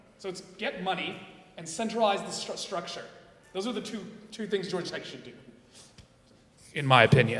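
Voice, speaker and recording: Over noticeable background noise and audible room echo, a man with an American accent talks at a fairly quick pace in a high voice, with lively intonation, big swings in loudness and long, frequent pauses. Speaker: panelist, tech alumnus. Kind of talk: panel discussion. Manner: animated.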